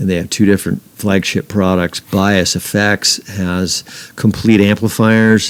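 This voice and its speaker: A man's fairly slow, fairly low-pitched voice in an American accent, monotone and flat. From Northern California. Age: 60s. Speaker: guitarist. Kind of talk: casual chat.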